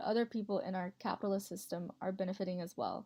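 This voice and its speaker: Speaking very fast with an American accent, a woman holds a flat, monotone delivery at a medium pitch, her tone dark and mellow. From Montana, US. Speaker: college student. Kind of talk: class presentation voiceover. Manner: read from script.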